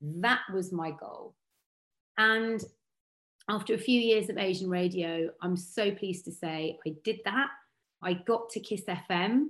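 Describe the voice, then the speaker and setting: With long, frequent pauses, a woman speaks fairly slowly at a medium pitch, her pitch varying in an ordinary way. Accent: southern English. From Berkshire, southern England. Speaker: radio and TV broadcaster. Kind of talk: interview.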